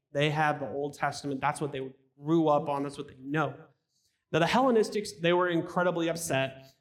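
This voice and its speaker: A man with a plain, everyday voice talks at a fairly quick pace, fairly high in pitch with ordinary pitch variation. His loudness swings widely, on a very clean recording with a silent background. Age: 30s. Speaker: pastor. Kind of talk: sermon.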